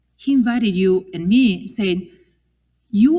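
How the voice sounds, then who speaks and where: Somewhat breathy and fairly slow, the voice has a dark, mellow tone and an Italian accent. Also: woman. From Italy. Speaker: religious sister giving a parish mission. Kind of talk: parish mission talk.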